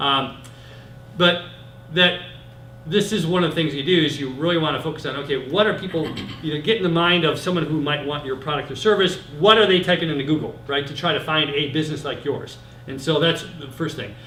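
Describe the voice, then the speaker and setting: Spoken at a fairly quick pace with an American accent and ordinary pitch variation, the voice carries audible room echo over noticeable background noise. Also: man, fairly high pitch for a man. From Michigan, US Midwest. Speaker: internet marketing consultant. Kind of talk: presentation to small group. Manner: fast.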